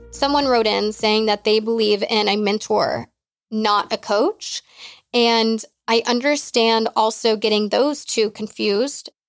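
A woman with a normal speaking voice, fairly high pitch, fairly even intonation, very even loudness and a fairly slow pace, on a very clean recording with a silent background and a dry, close sound with no echo. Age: 20s. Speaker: podcast host and life coach. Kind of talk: casual solo Q&A.

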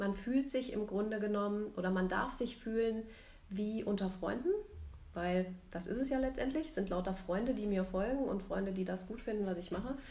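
A woman's medium-pitched voice at a moderate pace, ordinary pitch variation, and audible room echo. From Rhein-Main region, Germany. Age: 40s. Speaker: photographer and podcast co-host. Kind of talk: casual chat. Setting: recording together in Zwickau.

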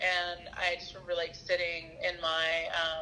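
With noticeable background noise behind her, a woman speaks in a Southern US accent at a fairly slow pace and a fairly low pitch. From US South, Arkansas. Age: 30s. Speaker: therapist. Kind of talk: casual chat.

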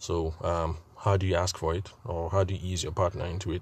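Over a quiet background, a man talks at a fairly quick pace in a somewhat breathy voice with fairly even intonation. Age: 40s. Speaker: podcast host and wedding photographer. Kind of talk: solo monologue podcast. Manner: halting, many fillers.

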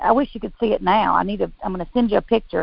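A fairly high-pitched woman with vocal fry at a fairly quick pace. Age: 50s. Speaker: physical therapist and business owner. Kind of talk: interview.

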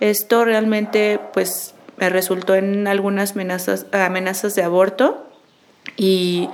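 A woman speaks in a monotone, flat intonation. Noticeable background noise is present. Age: 30s. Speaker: nurse. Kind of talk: testimony.

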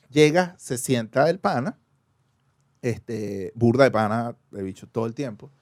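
With a Caracas accent, a man at a medium pitch speaks with lively intonation and big swings in loudness. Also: fairly slow pace, dry, close sound with no echo. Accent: Venezuelan (Caracas). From Caracas, Venezuela. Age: 30s. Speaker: podcast guest. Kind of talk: casual chat.

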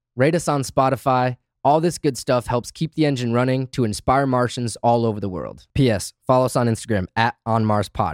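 The recording is very clean with a silent background, carrying a man's normal speaking voice at medium pitch in an American accent, with ordinary pitch variation. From Grand Rapids, Michigan. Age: 20s. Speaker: podcast host. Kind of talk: scripted show intro and outro; casual interview chat.

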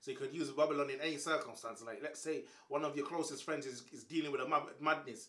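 With a London accent, the speaker talks at a very fast pace in an animated tone over noticeable background noise. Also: man, fairly high pitch for a man. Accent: London Multicultural English. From England, Caribbean background. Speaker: comedian and YouTuber. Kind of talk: casual chat.

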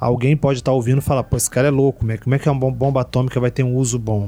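Talking at a very fast pace, a man uses a medium pitch with ordinary variation and a dark, mellow tone. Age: 40s. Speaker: Portuguese language teacher. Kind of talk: casual chat. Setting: studio.

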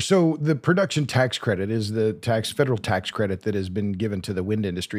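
On a very clean recording with a silent background, a man with an American accent talks at a fairly quick pace. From Oklahoma. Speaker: energy author and podcast host. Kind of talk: podcast interview. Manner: halting, many repeated words.

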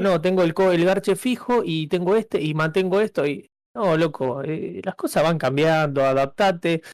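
This man's pitch moves in an ordinary way. He talks at a medium speed. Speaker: podcast co-host. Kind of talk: casual chat.

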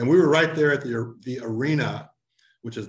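A man with an American accent talks at a fairly quick pace, his voice somewhat breathy and his pitch moving in an ordinary way. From St. Louis, Missouri. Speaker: newspaper editor. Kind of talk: interview.

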